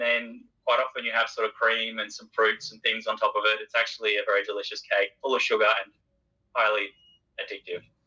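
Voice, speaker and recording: A man talks at a fairly quick pace with an Australian accent. His loudness swings widely. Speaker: IT worker. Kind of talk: interview answer.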